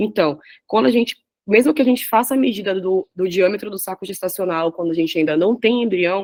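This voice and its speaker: A woman's medium-pitched voice at a fairly quick pace, dry and close with no echo. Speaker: radiology resident presenting a class. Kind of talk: lecture. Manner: fast.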